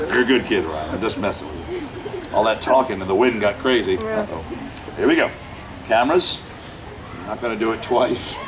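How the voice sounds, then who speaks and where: With music playing and audible room echo, a man talks in an animated tone at a fairly quick pace, leaving long, frequent pauses. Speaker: street performer, fire act comedian. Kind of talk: live comedy show with audience. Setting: outdoors at a festival with audience.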